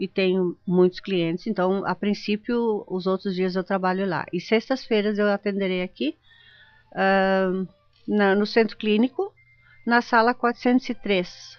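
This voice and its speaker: A woman speaks in a German accent. Her intonation is fairly even. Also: medium pitch for a woman, fairly slow pace. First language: German (speaking Portuguese). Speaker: geriatric doctor. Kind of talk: radio interview. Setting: radio studio.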